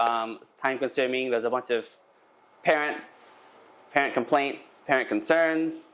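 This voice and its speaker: Here a man speaks with a Texan accent. His pitch is fairly high. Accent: Texan American English. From Texas. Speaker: English school owner. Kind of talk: conference presentation. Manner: halting, many fillers.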